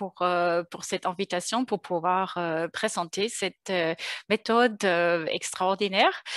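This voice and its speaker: Against a quiet background, a woman speaks at a very slow pace with a slight German accent. The sound is dry and close, without echo. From Germany. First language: German (speaking French). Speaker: consulting firm co-founder. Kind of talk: webinar presentation. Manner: hesitant, many fillers.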